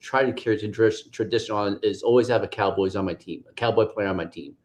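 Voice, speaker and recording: Against a quiet background, a man with a plain, everyday voice talks at a fairly quick pace with ordinary pitch variation. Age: 60s. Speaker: podcast host, former Marine. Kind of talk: casual chat.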